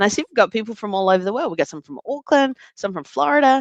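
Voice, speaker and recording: A woman speaks with an Australian accent and very wide pitch swings. The sound is dry and close, with no echo. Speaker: data analytics trainer and presenter. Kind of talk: live webinar presentation.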